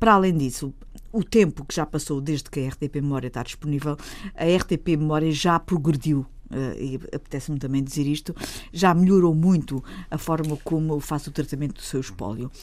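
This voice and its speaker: Speaking fairly quickly, a woman uses a very deep, low pitch. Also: ordinary pitch variation. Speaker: politician. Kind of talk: radio panel discussion.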